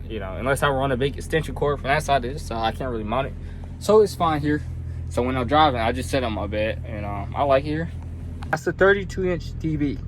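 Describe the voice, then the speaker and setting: A man with a medium pitch talks at a fairly quick pace in a relaxed tone. Audible room echo and noticeable background noise surround his voice. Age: 20s. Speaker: truck driver. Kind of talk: vlog tour. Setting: inside semi truck cab. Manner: casual, relaxed.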